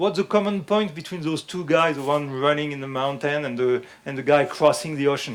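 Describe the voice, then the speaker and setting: In a French accent, a man talks at a fairly quick pace. His pitch is fairly high, with ordinary pitch variation. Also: hardly any pauses. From France. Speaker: fitness instructor. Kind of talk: lecture. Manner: halting.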